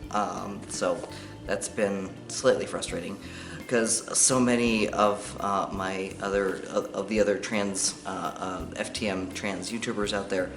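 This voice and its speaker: At a fairly slow pace and with fairly even intonation, the voice carries audible room echo, with music in the background. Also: man, fairly low pitch for a man. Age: middle-aged. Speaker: vlogger. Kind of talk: casual chat. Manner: halting.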